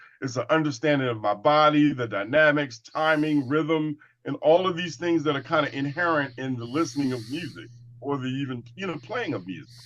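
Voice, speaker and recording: With an American accent, a man talks at a fairly quick pace with a fairly high pitch and ordinary pitch variation. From Washington, D.C., US. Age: 60s. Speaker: martial artist. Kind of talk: interview discussion.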